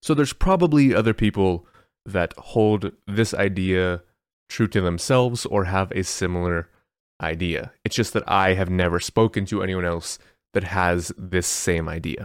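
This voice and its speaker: A man's very deep, low voice with ordinary pitch variation at a moderate pace, on a very clean recording over a silent background. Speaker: online content creator and podcast host. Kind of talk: solo monologue podcast.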